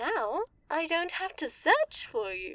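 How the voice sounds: In a put-on character voice, a woman speaks slowly, high-pitched and fairly bright, with big pitch swings and a dry, close sound with no echo.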